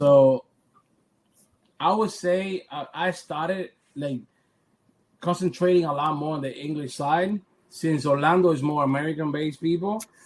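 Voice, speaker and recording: A man with a Cuban accent, fairly high in pitch with ordinary pitch variation, at a moderate pace broken by long, frequent pauses. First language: Spanish. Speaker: photographer. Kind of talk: interview. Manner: repeats words, halting.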